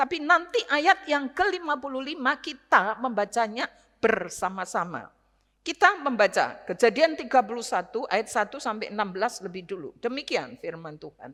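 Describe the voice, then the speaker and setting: Delivered at a moderate pace, the voice has a bright, sharp tone, very wide pitch swings and big swings in loudness. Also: woman, high pitch for a woman. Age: 60s. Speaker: retired pastor, guest preacher. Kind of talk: sermon. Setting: church service.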